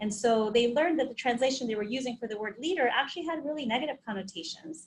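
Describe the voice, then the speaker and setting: A woman's very fast, lively speech at a fairly high pitch in a Spanish accent. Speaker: occupational health trainer. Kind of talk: webinar presentation. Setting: online webinar. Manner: conversational.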